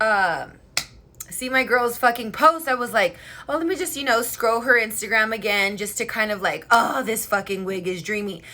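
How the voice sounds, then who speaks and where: A woman speaks loudly in an animated, bright and sharp tone. Her fairly high pitch moves with lively intonation. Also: moderate pace. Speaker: beauty livestreamer. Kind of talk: casual livestream chat.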